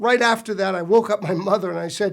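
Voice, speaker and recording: A high-pitched man with an American accent and ordinary pitch variation, on a very clean recording with a silent background. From US Northeast, Providence, Rhode Island. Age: 60s. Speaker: pastor. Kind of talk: personal testimony.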